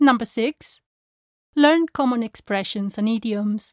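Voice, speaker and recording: Recorded very cleanly against a silent background, a woman with a fairly high pitch speaks at a fairly slow pace with ordinary pitch variation, the sound dry and close with no echo. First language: Spanish. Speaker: language teacher. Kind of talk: tutorial. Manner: clear and measured.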